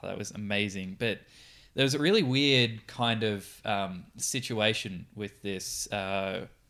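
A man with an Australian accent speaks in a fairly low voice, his tone bright and sharp. The recording is very clean, with a silent background. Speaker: radio producer and podcast co-host. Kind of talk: casual chat. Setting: studio.

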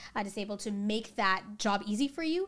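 With a Canadian accent and an ordinary speaking voice, a woman speaks fairly quickly at a fairly high pitch on a very clean recording with a silent background. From Canada, British Columbia (Coquitlam). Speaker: educator and equity coach. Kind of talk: casual interview.

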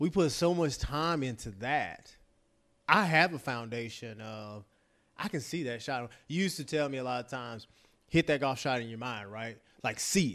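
On a very clean recording with a silent background, a man with a Texan accent uses lively intonation and big swings in loudness. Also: medium pitch for a man, moderate pace. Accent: Texan American. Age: 40s. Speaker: former college quarterback and football broadcaster. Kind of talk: casual interview chat.

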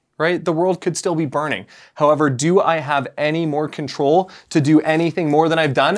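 In a very clean recording with a silent background, a man with a fairly high pitch and an unremarkable speaking voice talks at a moderate pace. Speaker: podcast co-host. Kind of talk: casual chat.

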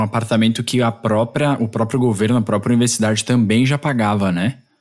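A man at medium pitch with fairly even intonation and a very fast pace. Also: hardly any pauses, very even loudness. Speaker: podcast host. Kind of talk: interview.

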